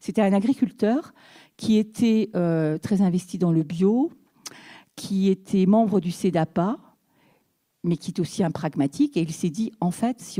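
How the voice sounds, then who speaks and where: Against a quiet background, a woman with a dark, mellow tone speaks at a medium pitch and fairly slow pace with ordinary pitch variation. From Brittany, France. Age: 60s. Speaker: mayor. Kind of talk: talk; panel discussion talk. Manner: halting. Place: hall. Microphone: handheld.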